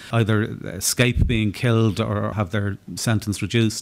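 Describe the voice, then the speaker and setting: In an Irish accent, a man with a fairly low pitch speaks at a moderate pace with fairly even intonation. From Ireland. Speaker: atheist activist. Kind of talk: panel discussion answer. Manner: halting, repeats words.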